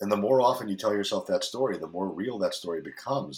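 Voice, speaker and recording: A man talks at a very fast pace. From foreign country, later US Northeast. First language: not English. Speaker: fitness coach. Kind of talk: casual interview chat. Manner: candid, blunt, profane.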